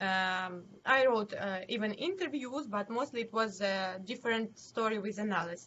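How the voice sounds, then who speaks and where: A woman speaks with a Ukrainian accent at a fairly high pitch and ordinary pitch variation. Her pace is moderate, with hardly any pauses. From Ukraine, Zhytomyr. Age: 20s. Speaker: city council member and NGO head. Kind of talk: interview. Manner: halting.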